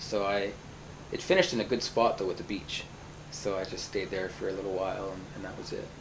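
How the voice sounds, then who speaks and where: Somewhat breathy speech moves at a very fast pace with fairly even intonation. Audible room echo surrounds it. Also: man, fairly low pitch for a man. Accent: western Canadian. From Canada, Vancouver. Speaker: teacher. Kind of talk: casual interview. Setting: at home, in-person recording.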